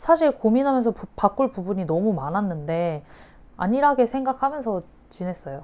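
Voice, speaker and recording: A woman's medium-pitched voice with a dark, mellow tone, very wide pitch swings, big swings in loudness, and a moderate pace. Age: 30s. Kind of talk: interview answer.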